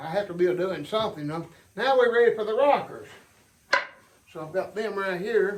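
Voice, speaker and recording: With an Appalachian accent, a man with a high pitch and ordinary pitch variation speaks at a moderate pace, leaving long, frequent pauses, in a room with audible echo. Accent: Appalachian US Southern. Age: 70s. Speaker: hobby sawmiller and woodworker. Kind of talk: casual workshop tutorial. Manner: halting, repeats words.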